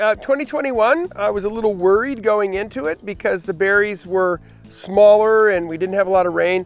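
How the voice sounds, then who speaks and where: Faint music plays in the background, and the sound is dry with no echo. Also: man. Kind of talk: interview answer. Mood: relaxed, pleased. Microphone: lapel.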